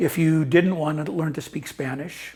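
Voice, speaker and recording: Speaking with an Upper Midwest accent, a man uses a fairly high pitch. His intonation is fairly even. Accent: Upper Midwest American. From US Midwest (Wisconsin/Minnesota). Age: 70s. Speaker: retiree living abroad. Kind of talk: interview testimony. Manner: halting, many fillers and repeats.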